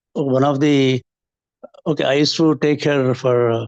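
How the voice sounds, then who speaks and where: A man speaks in a dry, close sound with no echo, his intonation fairly even. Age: 60s. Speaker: health group participant. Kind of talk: testimony. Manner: halting.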